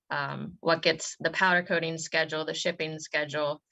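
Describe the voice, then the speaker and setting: The voice has a bright, sharp tone. Vocal fry runs through it. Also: woman. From West Virginia, Morgantown. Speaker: business owner. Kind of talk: casual chat.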